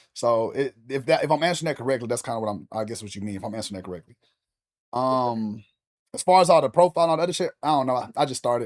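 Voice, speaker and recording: In a very clean recording with a silent background, someone with an American accent speaks at a very fast pace with lively intonation, big swings in loudness, and a dry, close sound with no echo. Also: man. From US South, Louisiana. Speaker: streamer. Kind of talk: casual chat. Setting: live stream. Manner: energetic.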